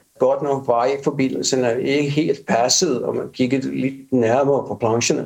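Fairly even intonation runs through an unremarkable speaking voice at a moderate pace. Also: man. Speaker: architect. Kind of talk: interview.

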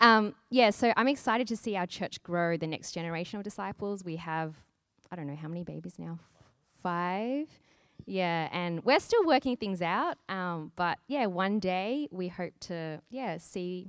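A woman speaks with an Australian accent. Her pitch variation is ordinary. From Australia, Sydney. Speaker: church planter. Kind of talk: interview.

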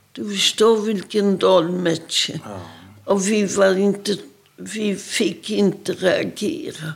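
The speaker talks at a very slow pace with ordinary pitch variation. Vocal fry runs through the voice. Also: woman, medium pitch for a woman. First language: Polish (speaking Swedish). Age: 80s+. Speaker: Holocaust survivor. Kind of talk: testimony.

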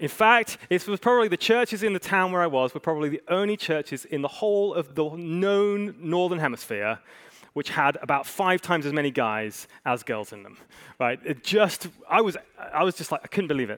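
On a very clean recording with a silent background and a dry, close sound with no echo, a man with a high pitch talks fairly quickly, his pitch swinging very widely. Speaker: pastor. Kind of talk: sermon. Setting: church.

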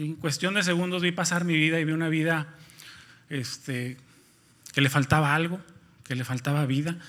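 A man's bright, sharp, fairly high voice at a moderate pace, fairly even in intonation, in a very clean recording with a silent background. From Nuevo León, Mexico (near Monterrey). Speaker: lay preacher. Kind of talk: sermon. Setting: church. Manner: halting, many fillers and repetitions.

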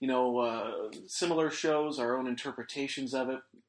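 This is a man with an ordinary speaking voice. His medium pitch shows ordinary pitch variation. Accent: Canadian. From Alberta, Canada. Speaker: podcast host. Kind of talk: casual chat.

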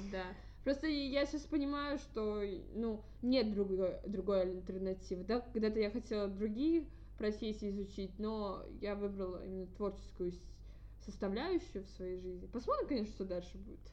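The woman's voice sits at a medium pitch. Her tone is dark and mellow. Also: moderate pace. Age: 20s. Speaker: podcast host, student. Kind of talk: casual chat.

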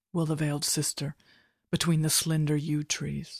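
A woman with a very deep, low pitch and a solemn tone speaks in a somewhat breathy, monotone, flat voice, recorded very clean with a silent background and a dry, close sound with no echo. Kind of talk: poem reading. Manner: slow, solemn, meditative delivery.

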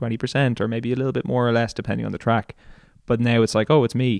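Against a quiet background, a man with an Irish accent speaks in a monotone, flat intonation at medium pitch, the sound dry and close with no echo. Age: 30s. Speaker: singer-songwriter. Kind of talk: casual interview.

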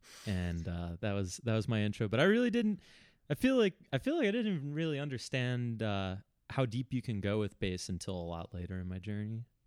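In an unremarkable speaking voice, a man of medium pitch talks at a fairly quick pace with lively intonation. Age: 30s. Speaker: musician and music teacher. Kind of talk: casual interview chat.

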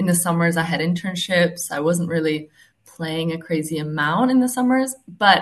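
A woman with an American accent talks at a moderate pace in a fairly low pitch. Her voice is somewhat breathy, and her intonation is lively. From Czech Republic and US. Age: 20s. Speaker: professional tennis player. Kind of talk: interview. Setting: remote call.

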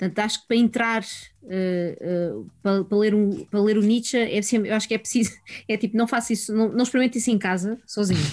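A normal speaking voice moves at a fairly quick pace, with fairly even intonation and very even loudness. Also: woman, fairly high pitch for a woman. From Portugal, Sintra area (Lisbon region). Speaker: philosophy teacher. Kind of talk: casual chat. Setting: video call.

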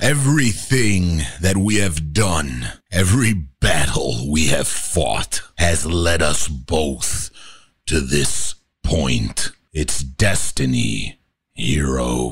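A man puts on a character voice. His pitch sits very deep and low, and he talks at a very slow pace. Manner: menacing, dramatic.

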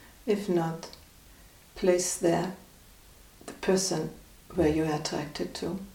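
A calm, soothing voice moves at a very slow pace with long, frequent pauses and a monotone, flat intonation. Its loudness swings widely over noticeable background noise. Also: woman, fairly low pitch for a woman. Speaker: meditation guide. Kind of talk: guided meditation. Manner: calm, slow, soothing; gently instructive, with long pauses.

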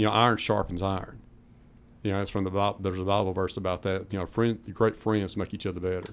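A man with a Southern US accent talks at a very fast pace in a fairly low, monotone voice with flat intonation. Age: 50s. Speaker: powerlifter. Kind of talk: radio interview. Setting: radio studio.

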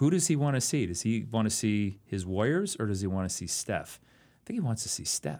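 A man with an American accent speaks at a fairly quick pace in a medium pitch, his tone dark and mellow, his pitch swinging very widely, on a very clean recording with a silent background. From Oakland, California. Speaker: history professor and podcast co-host. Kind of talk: casual chat.

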